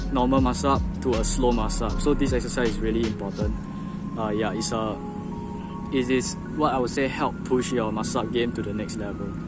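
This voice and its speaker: Over loud background noise, a man speaks at a fairly quick pace, the sound dry with no echo. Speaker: calisthenics hobbyist. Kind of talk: casual tutorial talk to camera. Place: garden. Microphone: phone near.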